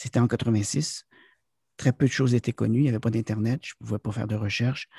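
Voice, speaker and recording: A man's somewhat breathy voice with fairly even intonation, dry and close with no echo, over a quiet background. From Quebec, near the US border. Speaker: business consultant and corporate trainer. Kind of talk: interview. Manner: halting, many fillers.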